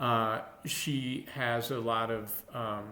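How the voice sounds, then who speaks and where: A man with a slight Minnesota accent and fairly even intonation speaks in a room with audible echo. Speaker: longevity coach. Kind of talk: casual talk to camera. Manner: halting, many fillers and restarts.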